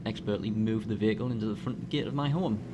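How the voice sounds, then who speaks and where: A man at a very fast pace, with very wide pitch swings and noticeable background noise. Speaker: gaming commentator. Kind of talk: humorous gameplay narration.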